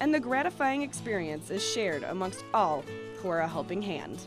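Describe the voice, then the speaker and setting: A woman speaks at a moderate pace with very wide pitch swings as music plays in the background. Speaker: TV news reporter. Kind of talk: TV feature news narration.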